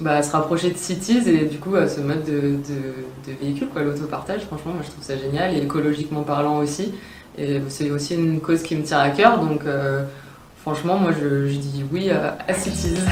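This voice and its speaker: Here a woman with a very deep, low pitch speaks at a moderate pace. There is audible room echo and noticeable background noise. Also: ordinary pitch variation. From France, Grenoble. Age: 20s. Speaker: elite athlete (rower). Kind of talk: promotional interview testimony. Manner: hesitant, many fillers.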